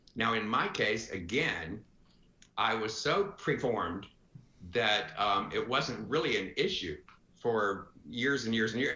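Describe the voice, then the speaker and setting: A man speaks with a bright, sharp tone. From US South (Florence, Alabama). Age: 60s. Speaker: retired advertising executive. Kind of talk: podcast interview. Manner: animated.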